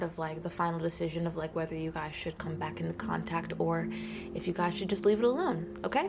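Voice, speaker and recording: Against noticeable background noise, the talking goes at a fairly quick pace. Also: woman. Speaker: tarot reader. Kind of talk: tarot reading. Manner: fast; casual, filler-heavy.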